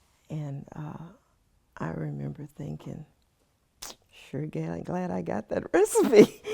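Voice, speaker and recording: Very slowly, a woman speaks in a Texan accent with long, frequent pauses. Her loudness swings widely. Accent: Texan American English. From Austin, Texas. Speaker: lawyer. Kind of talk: oral history interview answer.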